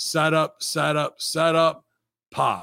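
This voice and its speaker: In a very clean recording with a silent background, a man speaks at a fairly high pitch in an animated tone. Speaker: wrestling podcast host. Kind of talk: casual solo review show. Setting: live stream.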